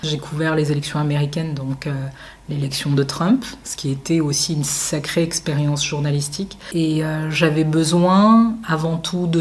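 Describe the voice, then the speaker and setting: Against noticeable background noise, a woman with a very deep, low pitch speaks at a fairly slow pace with fairly even intonation. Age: 30s. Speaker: journalist and entrepreneur. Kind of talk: interview. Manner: frequent filler hesitations.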